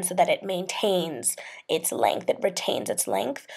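The woman's voice comes over a quiet background. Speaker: hair care vlogger. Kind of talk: tutorial. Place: home room.

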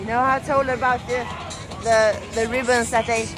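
A woman at a moderate pace over clear background music. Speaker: festival vlogger. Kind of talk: casual vlog chat. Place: open country. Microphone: phone near.

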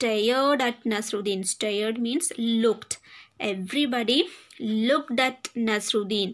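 This is an unforced reading voice. It carries the words plainly.

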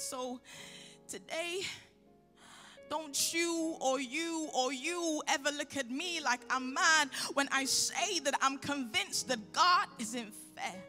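In a raised, projected voice, the speaker talks at a very slow pace with lively intonation over faint music in the background. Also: woman. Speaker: spoken word poet. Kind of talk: spoken word poetry performance. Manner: impassioned, emphatic. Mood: angry, pleading. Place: hall. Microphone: handheld.

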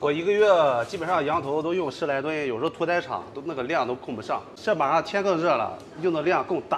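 Light background noise sits behind a man talking. He moves at a fairly quick pace with ordinary pitch variation. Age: 30s. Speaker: street food stall owner. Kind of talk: casual interview. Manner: confident. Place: shop.

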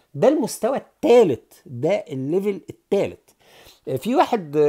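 Over a quiet background, a man with an Egyptian accent speaks at a moderate pace in a high pitch, his dark, mellow tone moving through very wide pitch swings. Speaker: political commentator. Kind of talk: satirical monologue. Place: home room. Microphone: earbuds.

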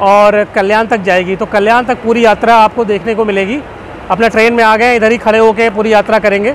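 A man speaks at a moderate pace in a monotone, flat delivery, with a dry sound, no echo and light background noise. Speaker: travel vlogger. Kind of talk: casual vlog chat. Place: train. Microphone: phone near.

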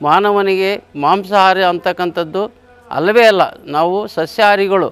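A man's voice, high in pitch, with fairly even intonation. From Karnataka, Huvina Hadagali (Vijayanagara district). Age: 70s. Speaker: retired teacher and meditation promoter. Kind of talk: interview testimony.

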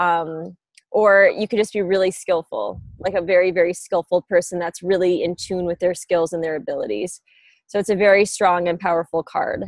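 A woman with a fairly low pitch, fairly even intonation and a moderate pace, in a quiet background with dry sound and no echo. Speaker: remote interview guest. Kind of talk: interview answer. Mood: relaxed, laughing. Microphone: earbuds.

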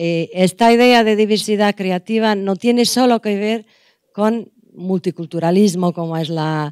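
A woman at a fairly slow pace, ordinary pitch variation, dry sound with no echo, and a quiet background. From Portugal. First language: Portuguese (speaking Spanish). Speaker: anthropology professor. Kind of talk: lecture. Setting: conference room with audience. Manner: halting. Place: hall. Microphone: podium.

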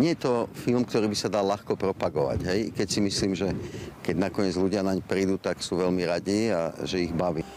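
A man speaks at a moderate pace in a very deep, low voice with ordinary pitch variation and very even loudness, the sound dry with no echo and light background noise present. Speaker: film producer. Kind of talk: interview soundbite. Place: street. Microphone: handheld.

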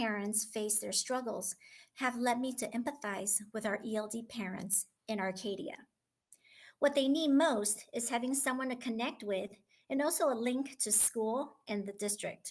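A woman with an American accent speaks in an ordinary speaking voice at a moderate pace, her pitch fairly high with ordinary pitch variation. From Taiwan, then Southern California from childhood. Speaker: school instructional coach. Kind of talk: prepared speech at school board meeting. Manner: formal.

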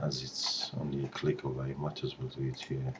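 A man's very deep, low voice, with fairly even intonation, is heard through noticeable background noise. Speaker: presenter. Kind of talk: tutorial. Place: home room. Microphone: webcam.

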